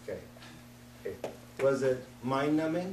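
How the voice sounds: With audible room echo, a man talks at a moderate pace in a medium pitch, his tone slightly mellow and his intonation lively.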